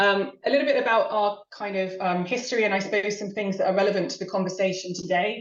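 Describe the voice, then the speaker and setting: Speaking at a very fast pace with hardly any pauses, a woman holds a medium pitch. Her pitch varies in an ordinary way. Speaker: marketing executive. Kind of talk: webinar presentation. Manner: hesitant, many fillers.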